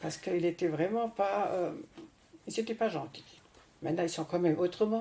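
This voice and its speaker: Fairly quick in pace, a woman speaks with a fairly low pitch, ordinary pitch variation and a dark, mellow tone. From France. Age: 80s+. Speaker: retiree telling her life story.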